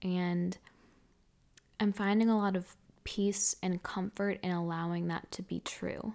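A woman's medium-pitched voice in monotone, flat intonation, at a fairly slow pace with long, frequent pauses, over a silent background on a very clean recording. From New England. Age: 20s. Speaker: podcast host. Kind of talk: solo podcast monologue.

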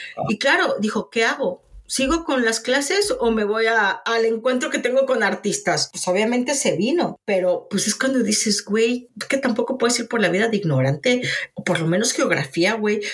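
A woman speaks in a Mexican accent at a fairly high pitch, with lively intonation. Noticeable background noise runs under her voice. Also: moderate pace. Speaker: podcast co-host. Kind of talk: casual chat.

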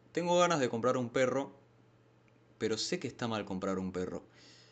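A man with a Rioplatense accent, medium pitch, lively intonation, a moderate pace and long, frequent pauses. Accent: Argentine Rioplatense Spanish. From Argentina, San Martín, Buenos Aires. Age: 20s. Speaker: podcast host. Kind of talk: casual monologue. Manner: hesitant, many fillers.

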